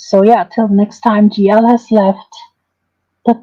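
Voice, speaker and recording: A dark, mellow tone colors this voice. There is some breathiness in it. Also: woman. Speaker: livestreamer doing drama commentary. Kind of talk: livestream sign-off chat. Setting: live stream. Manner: halting, filler-heavy.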